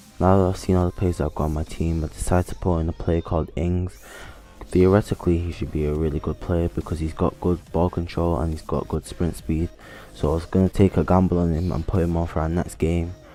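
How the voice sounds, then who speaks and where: With music in the background, the speech races along at a very fast pace with fairly even intonation. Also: man, very deep, low pitch for a man. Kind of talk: gameplay commentary. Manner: dull.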